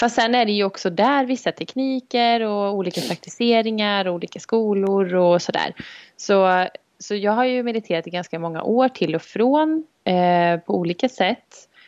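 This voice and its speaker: A woman's medium-pitched voice at a moderate pace, with ordinary pitch variation, dry and close with no echo. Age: 30s. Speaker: fitness and health coach, podcast co-host. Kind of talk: casual chat. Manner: quiet, cautious.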